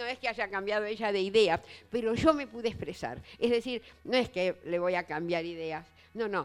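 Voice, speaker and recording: Her pitch medium and her intonation lively, a woman talks at a moderate pace in a Rioplatense accent. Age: 80s+. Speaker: writer and writing teacher. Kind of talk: public literary talk.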